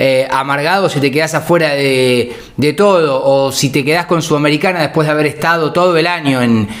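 A fairly quick male voice, its pitch variation ordinary. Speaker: football fan commentator. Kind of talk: casual vlog commentary. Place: home room. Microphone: phone near.

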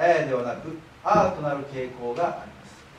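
Light background noise and audible room echo around a fairly slow-paced male speaker. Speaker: library director. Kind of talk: public lecture. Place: hall. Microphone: camera far.

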